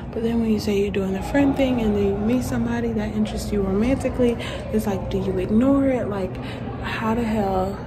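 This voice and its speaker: A woman is speaking over noticeable background noise. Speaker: vlogger. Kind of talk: casual vlog chat. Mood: reflective, emotionally candid. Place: hall. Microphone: phone near.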